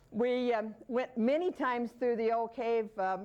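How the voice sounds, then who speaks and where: At a moderate pace, a woman with a fairly high pitch has an unremarkable speaking voice. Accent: American. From Colorado, Manitou Springs. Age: 60s. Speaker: local author. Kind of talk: talk to an audience.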